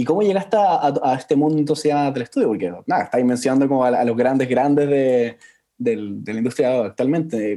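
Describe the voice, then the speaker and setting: With a Chilean accent, a man talks at a fairly quick pace in a dark, mellow tone. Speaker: podcast host. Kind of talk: interview.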